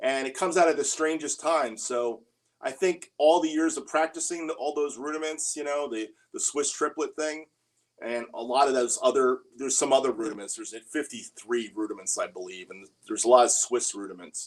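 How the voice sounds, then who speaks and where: A man with an ordinary speaking voice talks at a fairly quick pace, his fairly high pitch carrying lively intonation. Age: 60s. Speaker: drummer and livestream host. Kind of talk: casual livestream Q&A. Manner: casual, conversational with filler words.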